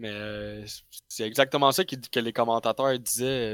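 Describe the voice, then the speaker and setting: In a very clean recording with a silent background and a dry, close sound with no echo, a man with a Quebec accent speaks at a fairly slow pace with fairly even intonation. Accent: Québécois French. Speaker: sports podcast panelist. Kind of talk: casual chat.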